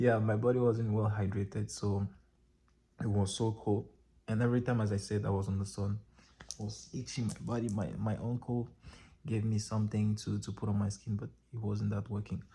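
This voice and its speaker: A man with a fairly low, somewhat breathy voice and a dark, mellow tone talks at a fairly quick pace with fairly even intonation and long, frequent pauses. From Cameroon. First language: French. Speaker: vlogger and dancer. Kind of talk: casual vlog monologue. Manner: casual, halting with self-corrections.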